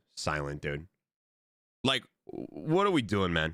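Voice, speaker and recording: Loud and animated, the voice has a bright, sharp tone and very wide pitch swings. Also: man. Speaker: gaming streamer. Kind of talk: casual live-stream chat.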